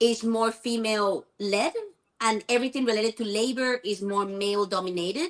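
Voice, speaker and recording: A woman speaks with a Spanish accent at a fairly quick pace. Her fairly high pitch shows ordinary variation. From Venezuela. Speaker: immigrant guest. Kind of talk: debate.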